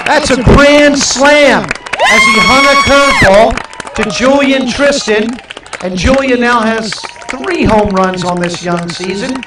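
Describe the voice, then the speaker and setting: A man projects his raised, extremely high voice at a very slow pace with lively intonation. Noticeable background noise and audible room echo fill the recording. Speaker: high school baseball livestream announcer. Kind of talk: live commentary. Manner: animated.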